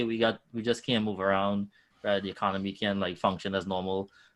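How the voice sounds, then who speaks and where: Speaking very fast with a strong Trinidadian accent, a man uses a fairly low pitch over a quiet background. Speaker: nonprofit founder connecting students with finance careers. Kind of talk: podcast interview. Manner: animated.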